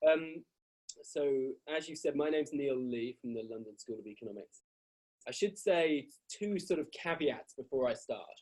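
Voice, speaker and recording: Speaking with a British accent, a man with a fairly high voice uses lively intonation and big swings in loudness. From Britain. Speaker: professor. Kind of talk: lecture. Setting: video call. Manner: fast.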